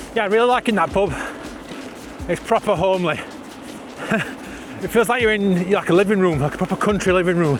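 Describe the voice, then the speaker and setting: Over noticeable background noise, a man with a Yorkshire accent speaks at a very fast pace in a high voice with ordinary pitch variation. He leaves long, frequent pauses. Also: very even loudness. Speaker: vlogger, e-bike rider. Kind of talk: casual vlog monologue. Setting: outdoors on a bike at night.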